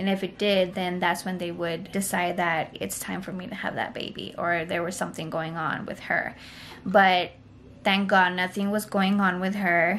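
The delivery is monotone and flat, at a moderate pace. Light background noise can be heard. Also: woman. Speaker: mother vlogger. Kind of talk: casual vlog story time. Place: home room. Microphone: phone near.

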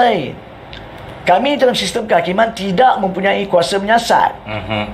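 A man with a Malaysian accent talks at a moderate pace with a high pitch. His pitch varies in an ordinary way over light background noise. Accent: Malaysian Malay. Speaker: lawyer and legal commentator. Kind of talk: talk show legal explanation answering viewer questions. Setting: live talk show. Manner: explanatory, rhetorical. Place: studio. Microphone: lapel.

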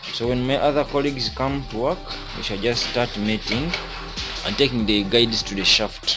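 The speaker talks at a moderate pace. Clear music plays in the background. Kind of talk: tutorial. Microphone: phone near.

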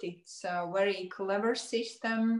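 A woman talks very slowly at a medium pitch, her intonation fairly even. The background is quiet, though room echo is audible. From Latvia. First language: Latvian. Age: 40s. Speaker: nutritionist. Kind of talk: casual chat. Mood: positive, persuasive. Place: home room. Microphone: video call.

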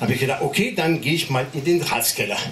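A man talks in an animated, playful tone with a French accent. Noticeable background noise runs underneath. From France. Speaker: stand-up comedian. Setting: stage with audience. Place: stage.

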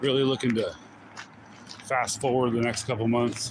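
A man talks in a relaxed tone with monotone, flat intonation. The sound is dry with no echo, and there is noticeable background noise. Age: 40s. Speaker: YouTuber vlogging while walking. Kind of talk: casual live-stream vlog. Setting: outdoors, walking. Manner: relaxed, rambling with laughs. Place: forest. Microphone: phone near.

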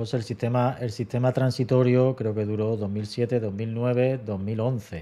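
A man's dark, mellow voice with fairly even intonation and hardly any pauses. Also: fairly slow pace. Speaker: teacher and exam-prep channel host. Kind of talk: casual interview. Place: home room. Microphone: studio mic.

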